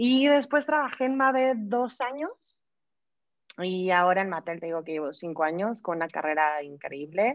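A woman talks at a moderate pace in a medium pitch, her voice making very wide pitch swings. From Mexico. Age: 30s. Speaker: human resources director. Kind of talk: interview. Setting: video call.

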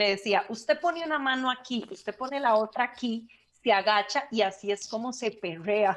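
Speaking with a Costa Rican accent, a woman uses a fairly high voice with ordinary pitch variation. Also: moderate pace. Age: 30s. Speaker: podcast co-host. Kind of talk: casual chat.

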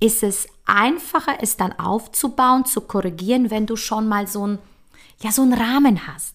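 A woman has a normal speaking voice with a fairly high pitch and lively intonation. She goes at a fairly slow pace on a very clean recording with a silent background. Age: 40s. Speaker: podcast host, coach. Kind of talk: motivational monologue. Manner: casual, chatty.

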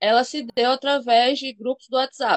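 Her voice, a woman's, is high-pitched. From Maceió, Alagoas, Brazil. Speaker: cannabis activist. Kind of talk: interview.

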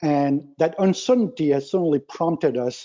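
A man speaks with a normal speaking voice. His pitch is fairly high, with lively intonation. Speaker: supply chain professor. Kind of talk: expert panel discussion. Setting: phone call.

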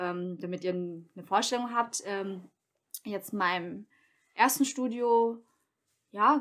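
A woman speaks at a very slow pace with ordinary pitch variation and long, frequent pauses. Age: 30s. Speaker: beautician and small business owner. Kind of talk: casual chat.

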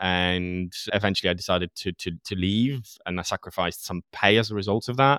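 A man speaks at a fairly quick clip in a fairly low voice with a bright, sharp tone and ordinary pitch movement. The recording is very clean, with a silent background and a dry, close sound free of echo. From Poland. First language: Polish. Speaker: podcast host. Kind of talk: casual interview chat.

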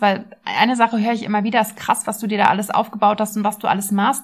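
Flat, monotone delivery, somewhat breathy, on a very clean recording with a silent background. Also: woman. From Berlin, Germany. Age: 30s. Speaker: nutrition coach and podcast host. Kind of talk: casual personal monologue. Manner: chatty.

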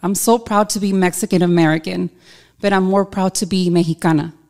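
The recording is very clean, with a silent background. A woman speaks at medium pitch and a moderate pace with fairly even intonation. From Southern California. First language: Spanish. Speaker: boutique owner. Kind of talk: casual interview chat. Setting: studio.

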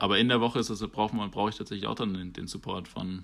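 On a very clean recording with a silent background, a man talks at a very fast pace in a fairly low voice. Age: 20s. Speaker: rugby player. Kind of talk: podcast interview. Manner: hesitant, many fillers.

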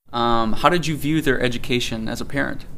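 A man with a plain, everyday voice at a medium pitch and a fairly quick pace. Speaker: podcast host. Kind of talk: interview.

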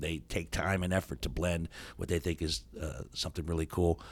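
A man with an American accent speaks at a moderate pace with a very deep, low pitch, vocal fry and fairly even intonation. The recording is very clean, with a silent background. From Steubenville, Ohio. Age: 60s. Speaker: radio host and comedian. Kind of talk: casual interview chat. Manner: humorous, joking.

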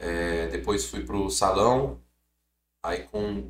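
With vocal fry, a man speaks at a fairly low pitch and swings it very widely. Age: 30s. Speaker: clothing brand founder, former footballer. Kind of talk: casual interview chat.

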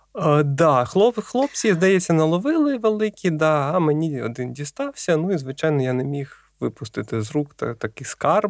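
This very clean recording, silent in the background, catches a man speaking with hardly any pauses in a dry, close sound with no echo. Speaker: science popularizer, biophysicist. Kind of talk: casual chat. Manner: slow.

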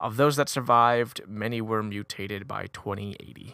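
An unremarkable speaking voice at a fairly quick pace, with ordinary pitch variation, on a very clean recording with a silent background. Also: man. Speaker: podcast co-host. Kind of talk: casual chat, gaming podcast.

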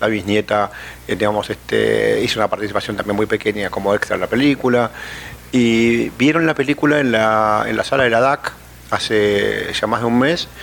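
A man at a moderate pace, his loudness very even, against noticeable background noise. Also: fairly low pitch for a man, ordinary pitch variation. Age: 50s. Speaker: film producer. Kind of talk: interview. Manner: halting, many fillers.

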